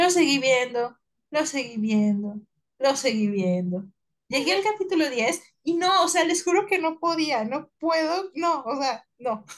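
A woman's high voice, fairly slow, with very wide pitch swings. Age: 20s. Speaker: podcast co-host. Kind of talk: casual chat.

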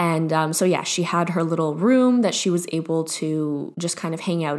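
A woman with a fairly low pitch keeps a moderate pace and fairly even intonation. She has a normal speaking voice. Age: 20s. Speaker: podcast host. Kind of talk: casual monologue. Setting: home office.

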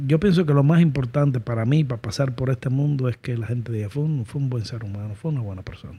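A man's dark, mellow, somewhat breathy voice at medium pitch, very fast with hardly any pauses and ordinary pitch variation. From Cuba. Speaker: entrepreneur. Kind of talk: interview.

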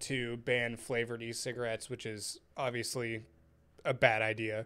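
On a very clean recording with a silent background, a man speaks at a medium pitch and moderate pace in a plain, everyday voice. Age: 20s. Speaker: podcast host and vape shop manager. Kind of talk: casual chat.

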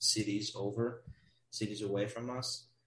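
A man talks at a fairly slow pace, somewhat breathy, with fairly even intonation. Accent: American. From Wisconsin, US Midwest. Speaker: guest, college student abroad. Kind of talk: casual chat.

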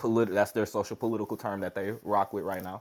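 A man's plain, everyday voice, fairly low in pitch with fairly even intonation, on a very clean recording with a silent background. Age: 30s. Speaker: podcast host. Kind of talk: interview; reading aloud. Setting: live audio room.

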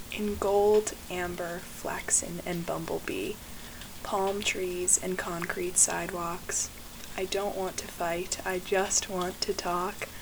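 There is noticeable background noise as a woman with a medium pitch speaks at a very slow pace. Her intonation is monotone and flat. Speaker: poet and podcast host. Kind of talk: spoken word poetry reading, lyrical and image-rich.

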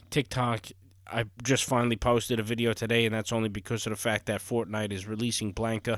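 Over a silent background in a very clean recording, a man talks at medium pitch and a fairly quick pace in a monotone, flat intonation. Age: 30s. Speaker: podcast host and gaming streamer. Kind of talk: casual solo monologue.

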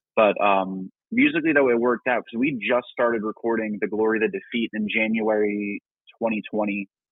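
A man with a plain, everyday voice speaks at a medium pitch and a moderate pace. His intonation is fairly even. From New Jersey. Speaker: rock band singer and guitarist. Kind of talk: casual interview. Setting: call-in line to live show.

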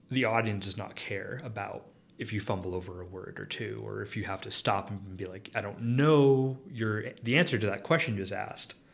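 In an American accent, a man with an ordinary speaking voice talks at a fairly quick pace, his fairly low pitch showing ordinary variation. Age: 30s. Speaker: chemistry professor. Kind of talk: interview.

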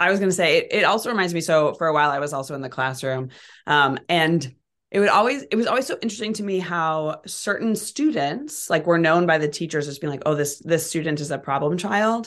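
A plain, everyday voice, talking at a fairly quick pace. The intonation is lively, and the background is quiet. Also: woman, fairly low pitch for a woman. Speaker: podcast host. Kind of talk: casual interview chat.

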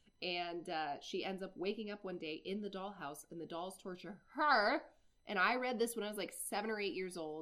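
With an American accent, a woman talks in a normal speaking voice at a medium pitch, with lively intonation and a moderate pace. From Iowa. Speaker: podcast co-host. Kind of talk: casual chat.

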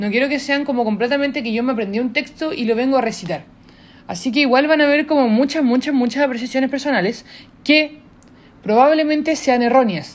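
A woman talks fairly quickly in a high voice with ordinary pitch variation. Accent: Chilean. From southern Chile. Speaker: podcast host. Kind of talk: casual monologue. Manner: informal, unscripted.

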